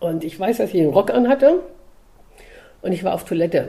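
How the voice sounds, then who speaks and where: This woman's pitch swings very widely. It centers on a medium level. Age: 50s. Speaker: dog trainer and coach. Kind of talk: casual chat. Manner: animated.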